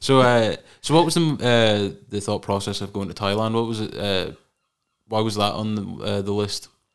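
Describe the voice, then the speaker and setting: Over a silent background in a very clean recording, a man with a Scottish accent speaks at a moderate pace, his fairly low pitch varying in the usual way. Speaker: podcast host. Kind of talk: casual chat. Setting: studio.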